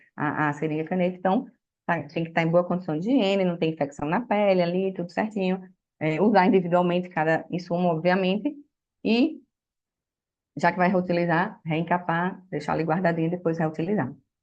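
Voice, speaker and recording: Long, frequent pauses break up the speech, whose pitch variation is ordinary. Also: woman. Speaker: physician. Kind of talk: lecture. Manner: fast.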